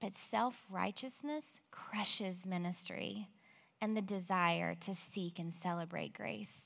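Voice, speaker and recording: With a normal speaking voice, a woman talks at a fairly slow pace using lively intonation. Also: medium pitch for a woman. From Central Texas. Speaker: women's Bible study speaker. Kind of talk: Bible teaching talk. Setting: stage in near-empty auditorium, livestreamed.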